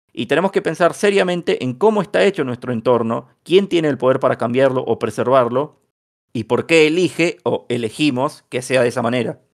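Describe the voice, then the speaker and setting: A man with a plain, everyday voice talks at a fairly quick pace. His pitch is fairly high and his intonation is lively. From Bahía Blanca, Argentina. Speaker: podcast host. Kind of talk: casual podcast discussion.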